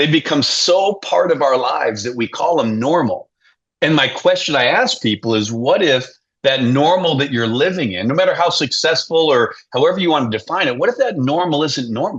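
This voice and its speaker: Lively intonation runs through this man's normal speaking voice, which sits at a fairly high pitch and moves at a fairly quick pace. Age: 60s. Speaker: leadership coach and author. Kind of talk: podcast interview.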